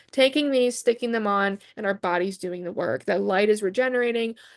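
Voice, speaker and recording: A woman's animated, very fast voice at a fairly high pitch, with ordinary pitch variation, over a quiet background. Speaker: wellness coach and product seller. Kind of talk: sales pitch.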